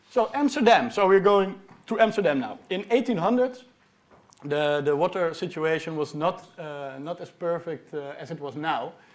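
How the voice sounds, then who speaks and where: Delivered in a Dutch accent at a moderate pace, the speech has lively intonation and big swings in loudness. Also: man, high pitch for a man. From Netherlands. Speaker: PhD researcher. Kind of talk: popular science talk. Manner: halting, with many fillers.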